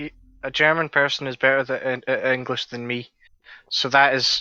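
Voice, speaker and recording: Spoken at a moderate pace, the words come in a Scottish accent. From Scotland. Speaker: podcast co-host. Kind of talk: casual chat.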